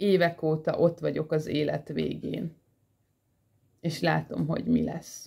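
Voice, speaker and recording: A woman speaks at a very slow pace, with vocal fry. The background is quiet. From Hungary. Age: 40s. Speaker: vlogger. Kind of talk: personal monologue. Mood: earnest, emotional, animated. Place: home room. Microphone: phone near.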